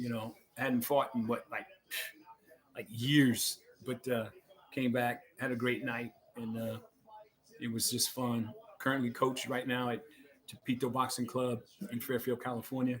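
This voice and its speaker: Noticeable background noise sits behind a man at a medium pitch who speaks at a moderate pace with monotone, flat intonation and long, frequent pauses. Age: 60s. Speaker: boxing coach and podcast host. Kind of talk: casual commentary. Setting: at home. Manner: halting, many fillers.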